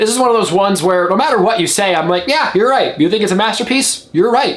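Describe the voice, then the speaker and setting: A man's voice, with very wide pitch swings, rises over noticeable background noise. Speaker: film critic. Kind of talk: video review monologue. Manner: stuttering, halting in places; casual, conversational.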